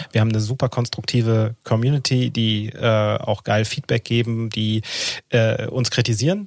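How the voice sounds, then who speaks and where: The speaker uses an ordinary speaking voice at a moderate pace, with fairly even intonation. Loudness stays very even, and the sound is dry and close with no echo. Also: man, medium pitch for a man. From Hesse, Offenbach district. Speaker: podcast co-host. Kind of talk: casual chat.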